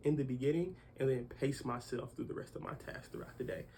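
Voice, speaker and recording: Somewhat breathy, the man's voice stays at a medium pitch. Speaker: young entrepreneur. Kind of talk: casual interview.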